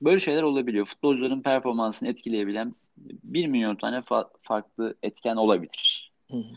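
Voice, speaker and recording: A man speaks fairly quickly in a plain, everyday voice at medium pitch with ordinary pitch variation, the sound dry and close with no echo. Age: 40s. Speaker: sports journalist. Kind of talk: casual chat.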